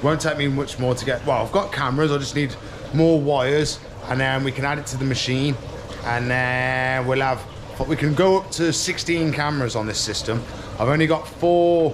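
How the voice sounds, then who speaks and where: The voice keeps a moderate pace and fairly even intonation over noticeable background noise. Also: man. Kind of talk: casual vlog chat. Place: shop. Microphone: phone near.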